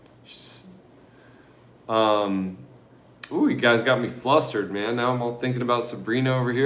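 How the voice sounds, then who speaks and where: In an American accent, a man speaks at medium pitch and a moderate pace with a relaxed tone and fairly even intonation, and the room echo is audible. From Oregon, US. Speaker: travel vlogger. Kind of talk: casual livestream Q&A chat. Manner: relaxed, casual.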